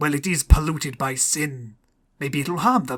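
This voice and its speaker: In a raspy, put-on character voice, a man speaks at a moderate pace with big swings in loudness and ordinary pitch variation. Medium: read story.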